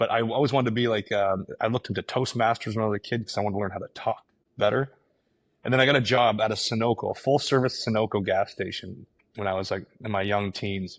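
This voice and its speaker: Very fast speech with fairly even intonation, a very clean recording with a silent background and a dry, close sound with no echo. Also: man, fairly low pitch for a man. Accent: Canadian. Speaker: real estate agent and team leader. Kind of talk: interview. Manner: mumbling.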